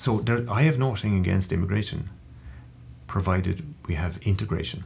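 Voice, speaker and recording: Here a man with an Irish accent talks at a fairly quick pace. His intonation is lively, and the room gives an audible echo. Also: fairly low pitch for a man. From Ireland. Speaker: interview guest, Irish emigrant. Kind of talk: interview conversation. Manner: hesitant, many fillers.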